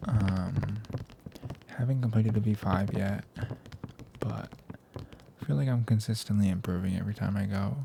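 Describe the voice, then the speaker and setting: The voice is soft-spoken with a relaxed tone. Noticeable background noise can be heard. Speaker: ASMR creator. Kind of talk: ASMR trigger assortment, casual talk to camera. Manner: soft-spoken, relaxed.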